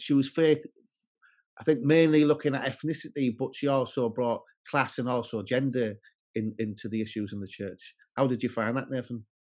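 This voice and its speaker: Over a quiet background, a man speaks with a northern English accent at a moderate pace. His pitch is medium, with ordinary variation. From northern England. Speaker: podcast host. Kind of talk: casual interview.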